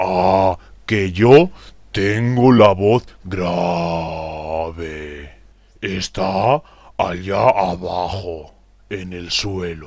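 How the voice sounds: Using a cartoonish character voice, a man speaks very slowly at a low pitch, with a slightly mellow tone and fairly even intonation.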